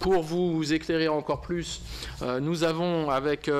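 The speaker is a man. He keeps to a moderate pace. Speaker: lawyer. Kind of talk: press conference. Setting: press room with audience. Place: meeting room. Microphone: podium.

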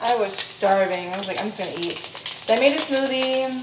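Loud background noise fills the clip. The speech shows ordinary pitch variation. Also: woman. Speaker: healthcare worker vlogger. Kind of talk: casual vlog chat. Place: kitchen.

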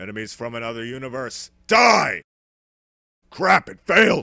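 Using a put-on character voice, a man talks at a medium pitch and a moderate pace. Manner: belligerent, blustering.

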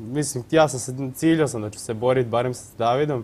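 The speaker has a normal speaking voice. The pace is fairly quick and the intonation fairly even. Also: man. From Croatia, Vukovar; Croatia. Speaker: rower, athlete; interview guest. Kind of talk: TV studio interview. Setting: TV studio. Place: studio. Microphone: lapel.

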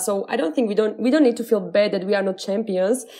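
A woman speaks with a Slovak accent. Her voice sits fairly high, with ordinary pitch variation. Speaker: podcast host. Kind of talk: casual chat. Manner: animated.

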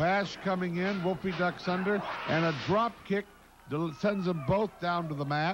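Noticeable background noise runs under the speech. A man speaks at a high pitch and a fairly slow pace. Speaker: wrestling commentator. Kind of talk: wrestling commentary. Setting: narrating replay of fan video footage. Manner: animated, excited.

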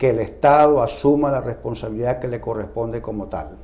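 The voice is dark and mellow, with fairly even intonation at a moderate pace. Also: man. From Nicaragua. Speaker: lawyer. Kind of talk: news interview. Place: studio. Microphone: lapel.

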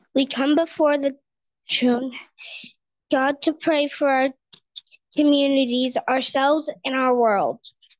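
A woman with a high pitch speaks fairly slowly in a monotone, flat delivery, with long, frequent pauses, very even loudness, and a dry sound with no echo. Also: quiet background. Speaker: lay prayer leader; lay reader leading prayers. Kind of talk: liturgical prayer. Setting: church. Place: church.

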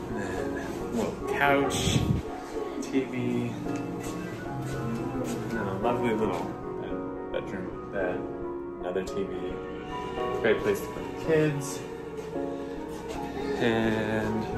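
A man at a very slow pace with long, frequent pauses over loud music in the background. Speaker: family vlogger. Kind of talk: casual vlog chat. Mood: upbeat, pleased. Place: home room. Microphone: phone near.

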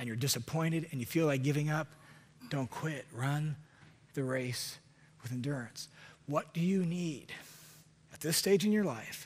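A somewhat breathy man at a moderate pace, with ordinary pitch variation and long, frequent pauses. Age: 40s. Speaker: preacher. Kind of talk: sermon. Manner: animated. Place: church. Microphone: headset.

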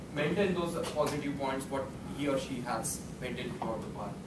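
A man talks with ordinary pitch variation while the room echoes audibly and noticeable noise fills the background. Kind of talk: prepared speech. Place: meeting room. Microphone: camera far.

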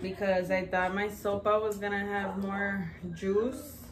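Over noticeable background noise, a woman with an American accent talks at a fairly slow pace with fairly even intonation. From South Texas, Rio Grande Valley (Roma); South Texas. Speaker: vlogger. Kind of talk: casual chat. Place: home room. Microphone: camera far.

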